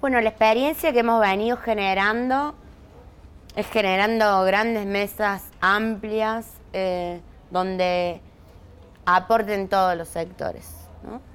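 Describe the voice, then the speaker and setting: Over a silent background in a very clean recording, a woman of medium pitch speaks at a very slow pace with ordinary pitch variation and long, frequent pauses. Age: 40s. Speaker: social movement leader. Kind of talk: interview.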